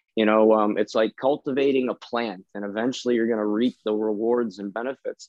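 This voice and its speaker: A man talks fairly quickly, his medium pitch held in a monotone, flat intonation. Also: hardly any pauses. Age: 40s. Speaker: business professional. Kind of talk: interview.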